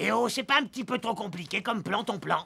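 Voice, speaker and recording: A man does a cartoonish character voice. It is high-pitched and fairly quick. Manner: grumbling, blunt.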